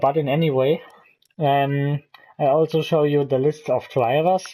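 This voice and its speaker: This man's voice sits at a fairly high pitch. He speaks with a non-native accent. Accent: non-native English speaker. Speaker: gaming YouTuber. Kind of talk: let's play commentary. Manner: halting, many fillers.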